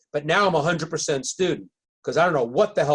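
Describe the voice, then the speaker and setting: This man's voice has a somewhat breathy quality. He talks very quickly, his intonation lively. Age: 60s. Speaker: marketing expert. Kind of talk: interview. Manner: halting, many repeated words.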